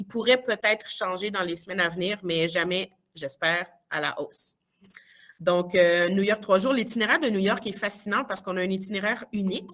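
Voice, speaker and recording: A woman speaks at a moderate pace and a medium pitch, with ordinary pitch variation. It is a normal speaking voice. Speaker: teacher presenting school trips. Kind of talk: information session presentation.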